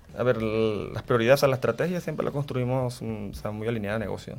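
Music plays in the background. A man at medium pitch talks at a fairly quick pace. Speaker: corporate cybersecurity manager. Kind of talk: interview.

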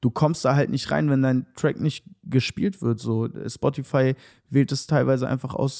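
A man speaks at a moderate pace with medium pitch and ordinary pitch variation. His tone is dark and mellow, and the sound is dry and close with no echo. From Hannover, northern Germany. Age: 20s. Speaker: musician. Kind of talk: casual chat. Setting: video call from home.

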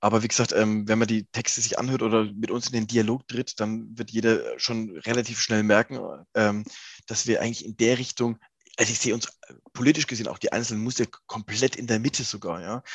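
Against a quiet background, a man speaks at a fairly quick pace in a monotone, flat intonation, the sound dry and close with no echo. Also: medium pitch for a man. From Lower Franconia, Germany. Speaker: rock singer. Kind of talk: interview.

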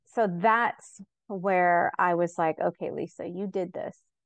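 A plain, everyday voice with ordinary pitch variation comes through in a dry, close sound with no echo against a quiet background. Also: woman. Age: 50s. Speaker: coaching client. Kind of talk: live coaching session.

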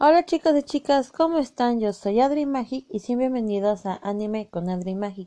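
The woman has a high pitch and a dark, mellow tone. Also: moderate pace. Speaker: anime YouTuber. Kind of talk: casual monologue. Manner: halting.

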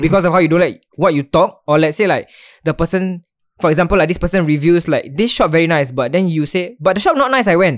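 A man with a high pitch and a Singaporean accent, very fast pace, ordinary pitch variation and very even loudness. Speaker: podcast host. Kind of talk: casual chat. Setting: online call recording.

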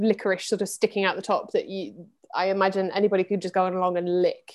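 A woman speaks at a very fast pace in a very clean recording with a silent background. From English Midlands. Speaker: theatre director. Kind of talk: interview.

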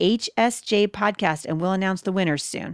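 A woman with an American accent speaks at a fairly quick pace and a medium pitch, with ordinary pitch variation, on a very clean recording with a silent background and a dry, close sound with no echo. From Portland, US Pacific Northwest. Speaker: podcast host. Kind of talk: casual interview chat.

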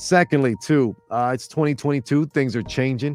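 Over music in the background, a man speaks in an animated tone with ordinary pitch variation. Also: dry, close sound with no echo. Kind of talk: radio DJ patter, upbeat show-opening banter. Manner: animated, high-energy, jokey.

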